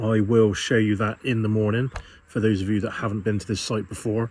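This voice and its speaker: A man with a British accent, medium-pitched and somewhat breathy, relaxed in tone at a moderate pace. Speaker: van life vlogger. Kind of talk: casual vlog narration. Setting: outdoors.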